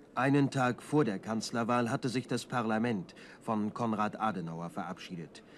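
A man talks in a normal speaking voice at a medium pitch, with ordinary pitch variation and a moderate pace. The background is quiet. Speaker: newsreel narrator. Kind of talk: 1960s German newsreel narration, formal and scripted. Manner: brisk, authoritative, clipped and measured delivery; solemn, declamatory, dry and objective tone.

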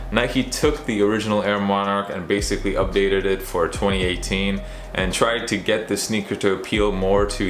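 Audible room echo and faint background music surround a man speaking at a moderate pace. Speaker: sneaker reviewer. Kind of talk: product review vlog. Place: home room.

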